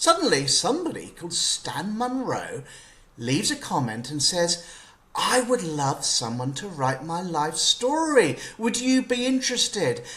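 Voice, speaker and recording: A voice with an English accent at a fairly slow pace, its pitch swinging very widely, over noticeable background noise. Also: man, high pitch for a man. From UK. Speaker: journalist and author. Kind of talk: interview.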